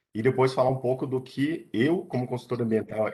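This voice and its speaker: A man talks with lively intonation. He keeps a fairly slow pace. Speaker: environmental consultant and biologist. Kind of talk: online lecture. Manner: hesitant with fillers.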